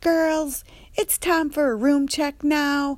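This put-on character voice sits at a high pitch and moves at a very slow pace. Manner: funny, flamboyant.

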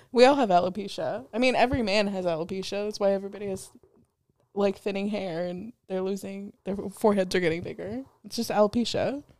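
A woman talks very fast at a medium pitch, with ordinary pitch variation. Her tone is animated, and her loudness swings widely. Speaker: podcast co-host. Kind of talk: casual banter, comedic chat. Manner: animated, joking.

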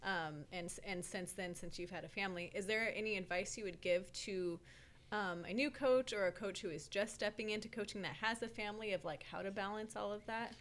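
In a plain, everyday voice, a woman of medium pitch talks at a fairly quick pace with ordinary pitch variation. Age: 30s. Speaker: podcast co-host and coach. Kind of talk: casual chat.

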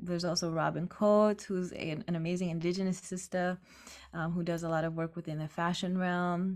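A woman's fairly low, monotone voice at a fairly quick pace, in a very clean recording with a silent background. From Marshall Islands. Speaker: musician and community organizer. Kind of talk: casual interview. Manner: halting, many fillers.

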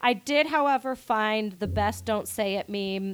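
Her animated voice sits at a medium pitch, and the woman moves at a fairly slow pace with ordinary pitch variation. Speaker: podcast host. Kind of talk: casual chat.

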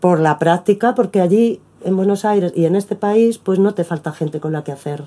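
A woman's medium-pitched voice with a dark, mellow tone, a moderate pace, ordinary pitch variation and a Madrid accent. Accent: Spanish (Madrid), noticeable. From Spain, Madrid. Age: 50s. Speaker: performing artist. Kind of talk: interview. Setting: at the host's home.

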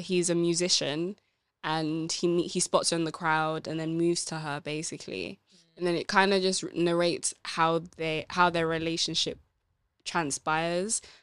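A woman speaks in a plain, everyday voice at a moderate pace, her pitch fairly low. The recording is very clean, with a silent background. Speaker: book club podcast co-host. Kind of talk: casual chat discussing a book.

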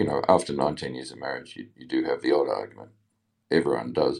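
A man speaks with a very deep, low pitch and vocal fry. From Australia. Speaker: listener calling in. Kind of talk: casual chat. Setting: online audio room.

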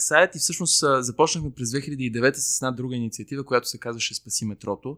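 A man speaks in an unremarkable speaking voice at medium pitch, with fairly even intonation. The recording is very clean with a silent background and a dry, close sound with no echo. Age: 30s. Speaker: civic activist, NGO co-founder. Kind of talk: casual interview chat. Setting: recording in a bar, early Saturday morning.

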